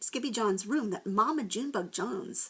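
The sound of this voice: Unforced reading voice, start to finish.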